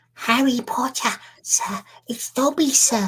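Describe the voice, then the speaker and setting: Fairly slow delivery in a put-on character voice, high in pitch and female-sounding. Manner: eager, servile.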